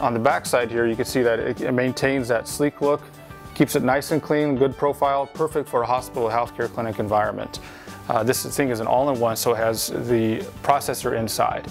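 Over faint music in the background, a man speaks at a fairly quick pace. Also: ordinary pitch variation. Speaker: presenter. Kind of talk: product demonstration. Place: studio. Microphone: lapel.

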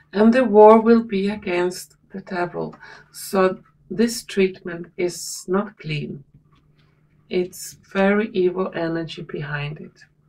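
A woman talks at a very slow pace in a dark, mellow tone. Her pitch variation is ordinary, while her loudness swings widely. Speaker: tarot reader. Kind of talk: tarot reading commentary.

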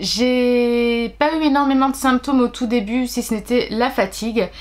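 Her pitch high, a woman speaks at a very slow pace. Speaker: pregnancy vlogger. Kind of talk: casual vlog chat. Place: home room. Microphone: phone near.

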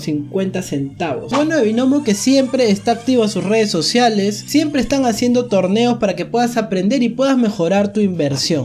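At a moderate pace, a man talks over faint music in the background. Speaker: streamer doing a sponsor read. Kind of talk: sponsored ad read, casual vlog chat. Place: home room. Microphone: studio mic.

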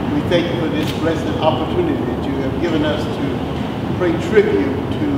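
Someone speaks at a moderate pace amid loud background noise and audible room echo. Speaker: chaplain. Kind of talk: prayer, invocation. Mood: solemn, reverent. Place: garage. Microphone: camera far.

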